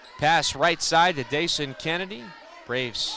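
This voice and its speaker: Pitch variation is ordinary as a man talks amid noticeable background noise. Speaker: basketball play-by-play announcer. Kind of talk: live game play-by-play.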